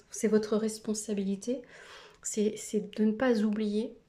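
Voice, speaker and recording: Somewhat breathy and dark, mellow in tone, a woman with a fairly high pitch speaks at a fairly slow pace. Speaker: tarot card reader. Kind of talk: tarot reading video. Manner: hesitant with many fillers.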